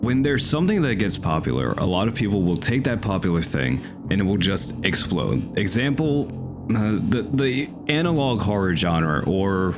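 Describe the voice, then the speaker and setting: Over music in the background, a man talks at a moderate pace in a fairly low voice with very wide pitch swings. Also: very even loudness. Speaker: gaming video commentator. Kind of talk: casual game review commentary.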